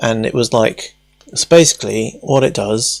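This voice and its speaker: With ordinary pitch variation, a man speaks fairly slowly. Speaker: hobbyist robotics streamer. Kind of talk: live stream tutorial chat.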